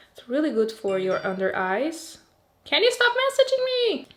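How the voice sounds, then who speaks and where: A woman talks with a Portuguese accent. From Portugal. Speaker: beauty youtuber. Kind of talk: product review. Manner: casual, chatty.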